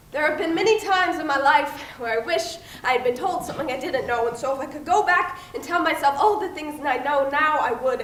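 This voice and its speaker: A woman's fairly quick, lively-intoned speech over noticeable background noise. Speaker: spoken word poet. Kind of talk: spoken word poetry performance.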